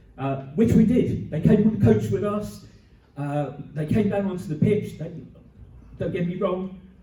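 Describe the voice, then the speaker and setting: Amid noticeable background noise and audible room echo, a high-pitched man speaks at a moderate pace with lively intonation and long, frequent pauses. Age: 60s. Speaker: community radio volunteer. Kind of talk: conference talk.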